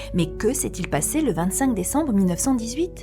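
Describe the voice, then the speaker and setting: A woman talks at moderate speed while music plays in the background. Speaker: voice-over artist. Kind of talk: documentary history narration. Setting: studio.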